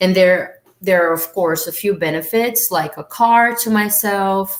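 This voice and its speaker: At a very slow pace, a woman with a Brazilian Portuguese accent talks with ordinary pitch variation. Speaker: au pair, former student. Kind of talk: live stream talk. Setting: live stream.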